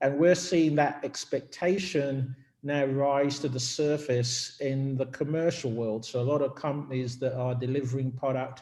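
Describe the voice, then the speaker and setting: A man with a British accent speaks at a fairly high pitch and a moderate pace. His intonation is fairly even, with hardly any pauses. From UK. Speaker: business executive. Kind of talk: company info session presentation.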